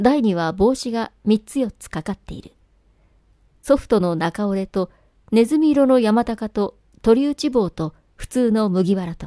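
On a very clean recording with a silent background and a dry, close sound with no echo, a woman speaks at a fairly slow pace in a fairly high pitch, her dark, mellow tone carrying lively intonation and big swings in loudness. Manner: formal, literary diction, earnest and intimate when addressing the wife in the letter.

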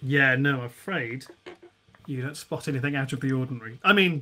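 A man with a medium-pitched voice talks at a moderate pace, his tone bright and sharp and his pitch varying in an ordinary way.

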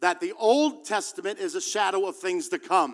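Against a quiet background, the man's speech moves at a moderate pace. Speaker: preacher. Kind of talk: sermon. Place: church. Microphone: handheld.

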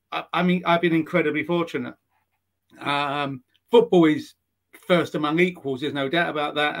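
Here a man speaks with an English accent and fairly even intonation. The background is quiet. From England. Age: 50s. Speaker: sports journalist. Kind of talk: casual interview. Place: home room. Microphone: video call.

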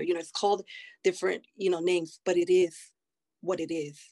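A woman with an American accent at a very fast pace, fairly even in intonation, over a quiet background. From United States. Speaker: nurse practitioner and army veteran; panelist. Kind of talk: panel discussion. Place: home room. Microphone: video call.

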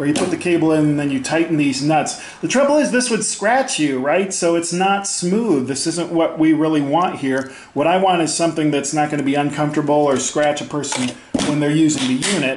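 A man talks at a fairly quick pace with very even loudness and ordinary pitch variation. Light background noise and audible room echo are present. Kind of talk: tutorial. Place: garage. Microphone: phone near.

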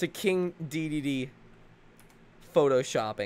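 A man talks with ordinary pitch variation. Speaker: gaming YouTuber streamer. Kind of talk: casual stream commentary.

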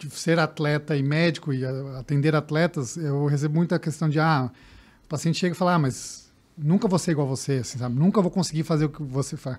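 A man with a fairly high pitch speaks at a fairly quick pace, using ordinary pitch variation. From interior of São Paulo state, Brazil. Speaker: sports physician and triathlete; guest. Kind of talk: podcast interview. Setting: studio. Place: studio. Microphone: studio mic.

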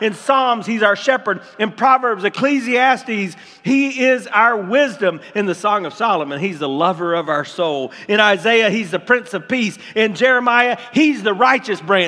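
A man's high-pitched, raised, projected voice with an American accent, lively intonation, a moderate pace and hardly any pauses. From Tampa, Florida, USA. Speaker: pastor. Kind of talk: sermon preached to a congregation. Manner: energetic, building excitement. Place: church.

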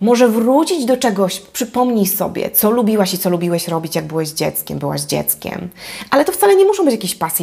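A woman talks fairly quickly, her pitch leaping across a very wide range. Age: 40s. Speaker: life coach. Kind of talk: vlog monologue. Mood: warm, encouraging. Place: home room. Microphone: lapel.

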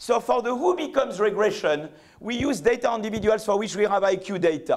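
A man speaks at a moderate pace with a French accent. His pitch is high. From France. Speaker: economics professor. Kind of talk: lecture. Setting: stage with audience. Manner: halting. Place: hall.

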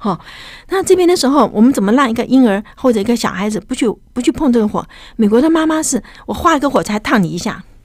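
A woman speaks very fast in an animated tone with a high pitch. The sound is dry, with no echo. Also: lively intonation, quiet background. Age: 70s. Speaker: professor and translator; guest professor. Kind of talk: interview. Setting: studio. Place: studio. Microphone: studio mic.

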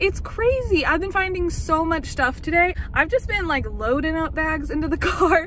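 A woman with an extremely high pitch and lively intonation speaks at a moderate pace with hardly any pauses, in a dry sound with no echo and light background noise. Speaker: vlogger. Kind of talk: casual vlog chat. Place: car. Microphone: phone near.

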